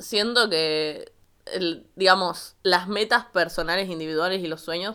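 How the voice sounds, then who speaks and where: The recording is very clean, with a silent background. A woman talks at a medium pitch in a bright, sharp tone, with ordinary pitch variation. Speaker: podcast co-host. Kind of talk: casual chat. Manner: animated.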